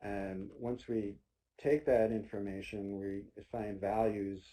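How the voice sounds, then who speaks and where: A man speaks at a fairly low pitch in a dark, mellow tone, his intonation monotone and flat. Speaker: state transportation agency presenter. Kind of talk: webinar presentation. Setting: online webinar. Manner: loud.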